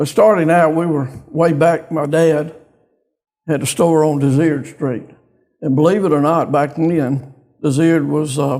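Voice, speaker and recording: A man with a Louisiana accent and a fairly high pitch speaks at a fairly slow pace in a dark, mellow tone, with fairly even intonation and long, frequent pauses. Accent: Southern US (Louisiana). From US South, northeast Louisiana. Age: 70s. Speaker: bank executive, community business leader. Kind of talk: interview.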